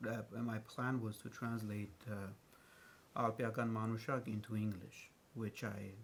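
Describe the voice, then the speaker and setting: The man talks at a fairly slow pace and medium pitch. His delivery is somewhat breathy, with monotone, flat intonation. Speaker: translator. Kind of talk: panel discussion. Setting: stage with audience. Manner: halting.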